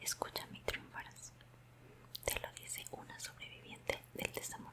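A woman whispers in a warm tone at a moderate pace, with noticeable background noise behind her. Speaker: vlogger giving advice. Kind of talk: casual vlog chat, heartfelt advice. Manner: warm smiling whisper. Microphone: earbuds.

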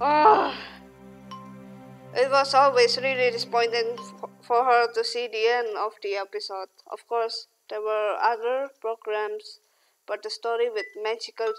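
Music plays in the background as a speaker with a non-native accent talks at a fairly slow pace. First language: non-native English speaker. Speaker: gamer reading a visual novel aloud. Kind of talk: reading story text aloud.

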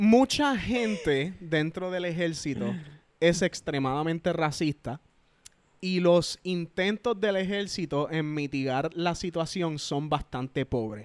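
Over a quiet background and in a dry sound with no echo, a man with a high pitch and lively intonation speaks at a very slow pace. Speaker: YouTuber and army veteran; podcast guest. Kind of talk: casual chat. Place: home room. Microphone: handheld.

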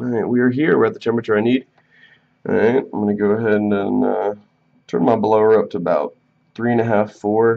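A man with an unremarkable speaking voice, fairly even intonation and a fairly quick pace, over a quiet background. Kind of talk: tutorial. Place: workshop.

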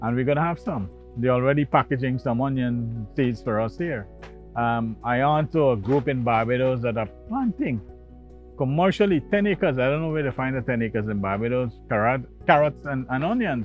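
Faint music plays in the background as a man speaks at a moderate pace with ordinary pitch variation, the sound dry with no echo. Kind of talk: interview answer. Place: farm machine. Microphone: lapel.

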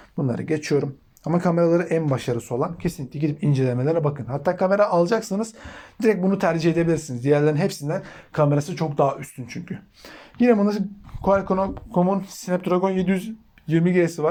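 Speaking at a fairly quick pace, a man uses a high pitch with ordinary pitch variation. His tone is dark and mellow. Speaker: tech YouTuber. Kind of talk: product review. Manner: fast; casual.

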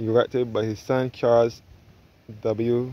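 A man speaks with monotone, flat intonation, and the sound is dry with no echo. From Barbados. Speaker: travel vlogger giving a walking tour. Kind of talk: tour guide narration, walking tour of a church and graveyard. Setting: outdoors at church and graveyard. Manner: informative, conversational, points out sights as he walks. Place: garden. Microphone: phone near.

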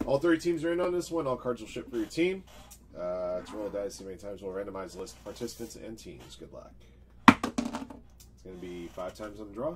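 The speech moves at a fairly quick pace. Loud background noise runs throughout. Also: man. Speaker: card break host. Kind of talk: live-stream commentary. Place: home room.

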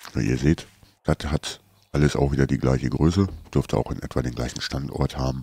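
With a very deep, low pitch and a dark, mellow tone, a man speaks with vocal fry. His pace is fairly quick and his intonation fairly even. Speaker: gaming YouTuber. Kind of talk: casual let's play commentary.

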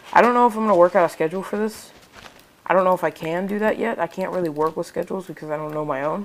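Over noticeable background noise, a woman speaks at a very fast pace. Her pitch sits in the medium range. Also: ordinary pitch variation. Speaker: gaming video creator. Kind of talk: gameplay commentary.

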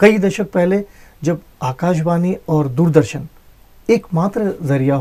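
With lively intonation and a high pitch, a man speaks at a very slow pace. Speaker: interviewer. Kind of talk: interview host introduction. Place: studio. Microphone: lapel.

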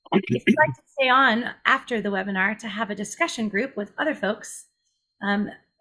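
The tone is bright and sharp, delivered at a moderate pace with ordinary pitch variation. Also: woman. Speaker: webinar host. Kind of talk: host introduction. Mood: warm, smiling. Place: home room.

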